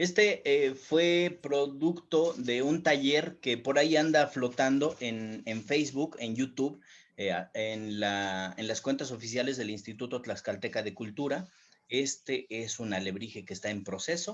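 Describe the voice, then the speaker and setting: A man's medium-pitched voice with lively intonation at a fairly slow pace. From Mexico, Tlaxcala. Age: 40s. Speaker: writer and independent publisher. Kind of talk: panel discussion. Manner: hesitant, many fillers.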